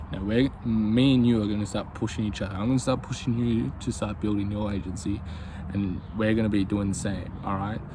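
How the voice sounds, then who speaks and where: With an Australian accent, a man talks at a fairly quick pace and a fairly low pitch, his pitch varying in an ordinary way. Noticeable background noise and audible room echo fill the recording. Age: 20s. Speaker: YouTuber, aspiring business owner. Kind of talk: casual vlog monologue. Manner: casual, hesitant with many fillers.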